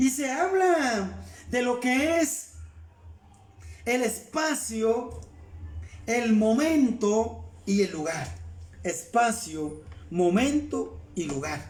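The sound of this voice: A man speaks at an extremely high pitch and a very slow pace. Room echo is audible. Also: lively intonation.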